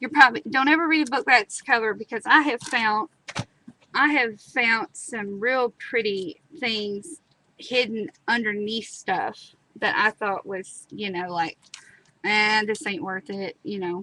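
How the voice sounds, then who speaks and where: A woman with an American accent speaks at a fairly slow pace and fairly high pitch, her bright, sharp tone carrying lively intonation and big swings in loudness, in a dry, close sound with no echo. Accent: country twang. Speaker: craft tutorial host. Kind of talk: live crafting tutorial. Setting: live stream. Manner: chatty, casual.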